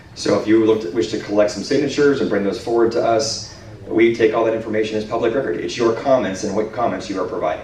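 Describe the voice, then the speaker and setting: A man talks at a very fast pace with a medium pitch. Noticeable background noise and audible room echo fill the recording. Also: ordinary pitch variation. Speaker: city planning official. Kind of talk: public meeting Q&A. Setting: community meeting with handheld mic. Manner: loud.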